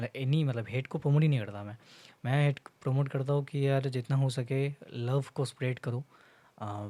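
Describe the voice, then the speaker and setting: A man's dark, mellow voice at medium pitch and moderate pace, with a Bengali accent, on a very clean recording against a silent background. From India, Bengal. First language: Bengali (speaking Hindi). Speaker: content creator. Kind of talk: casual vlog monologue. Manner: halting, many fillers, Hindi-English code-switching.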